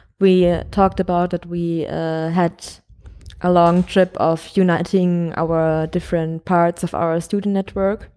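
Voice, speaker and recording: A woman with a German accent, fairly low pitch, dark, mellow tone and monotone, flat intonation, on a very clean recording with a silent background. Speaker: podcast co-host, student. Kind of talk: casual chat. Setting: recording at a conference in Prague.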